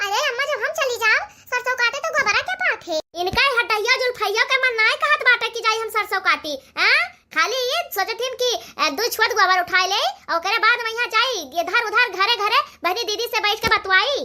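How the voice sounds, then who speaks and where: Using a cartoonish character voice, a woman speaks at an extremely high pitch and a fairly quick pace. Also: ordinary pitch variation. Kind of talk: comic cartoon sketch acting. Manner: chatty, bickering.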